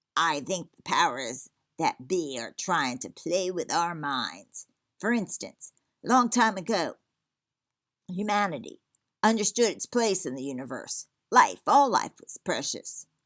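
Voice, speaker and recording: A put-on character voice, female-sounding and at middle pitch, moves at a fairly slow pace. The recording is very clean with a silent background. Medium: read story. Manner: gruff, lecturing, cranky.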